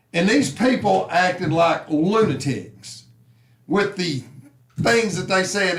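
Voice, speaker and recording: A man with a Southern US accent speaks loudly and very slowly at a high pitch, his intonation lively, with room echo audible. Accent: Southern US (Georgia). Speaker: sports talk show host. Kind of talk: casual sports talk. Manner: animated.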